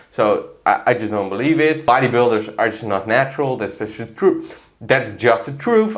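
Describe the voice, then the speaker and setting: Speaking at a fairly quick pace, a man with a medium pitch uses lively intonation and an animated tone, with audible room echo behind him. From Netherlands. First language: Dutch. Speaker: fitness coach and YouTuber. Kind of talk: casual commentary video.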